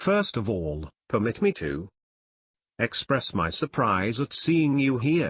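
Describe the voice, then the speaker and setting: Doing a raspy put-on character voice at a medium pitch, a man speaks at a fairly slow pace with very wide pitch swings against a quiet background. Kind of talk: formal, stiff.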